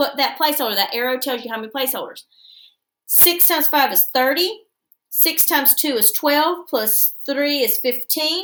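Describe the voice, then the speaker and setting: A woman with a high pitch and a bright, sharp tone speaks in an American accent. The recording is very clean, with a silent background. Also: moderate pace. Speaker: schoolteacher. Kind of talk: tutorial.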